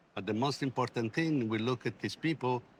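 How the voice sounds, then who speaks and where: This man speaks with an Italian accent and ordinary pitch variation. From Italy. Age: 60s. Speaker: logistics company CEO. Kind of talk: interview.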